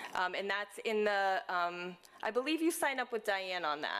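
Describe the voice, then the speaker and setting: Loud and moving at a moderate pace, a woman's voice makes very wide pitch swings. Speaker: senior living community staff or executive. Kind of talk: community announcements at residents' meeting. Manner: hesitant, many fillers.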